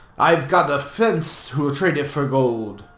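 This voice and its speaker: A man puts on a character voice. It sits fairly high and moves at a fairly slow pace. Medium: read story. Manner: blunt, coarse.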